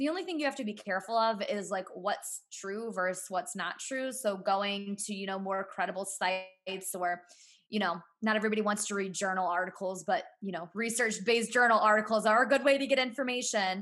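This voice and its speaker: With hardly any pauses, the talk moves fairly quickly, and its pitch varies in an ordinary way. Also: woman, medium pitch for a woman. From US Midwest, Cleveland area. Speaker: entrepreneur and author. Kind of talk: casual interview. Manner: loud.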